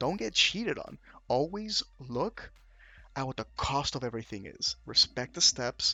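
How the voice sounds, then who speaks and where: This man's fairly high voice has an animated tone and vocal fry. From Venezuela. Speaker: card game YouTuber. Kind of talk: casual tutorial.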